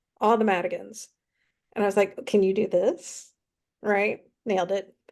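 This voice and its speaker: A woman speaks with an American accent. Her pitch is medium and her pace moderate. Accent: Southern US accent, stronger when emotional. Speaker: romance author. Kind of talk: casual interview chat.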